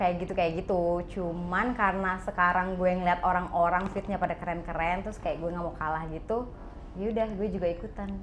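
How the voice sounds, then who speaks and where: A woman at medium pitch, fairly quick and with hardly any pauses, in audible room echo. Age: 20s. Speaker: university student and makeup artist. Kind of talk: casual interview.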